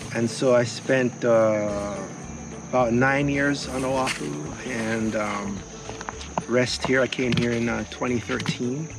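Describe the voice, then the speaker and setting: Very slowly, a man of medium pitch speaks with ordinary pitch variation, with music in the background and audible room echo. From Jamaica. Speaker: organic gardener. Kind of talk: tutorial; interview.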